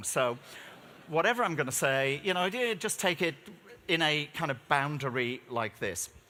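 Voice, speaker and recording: A man with an English accent, a fairly high pitch, a bright, sharp tone and lively intonation. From Switzerland, schooled in the UK. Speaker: keynote speaker. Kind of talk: conference keynote speech. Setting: stage with audience. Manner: animated, joking.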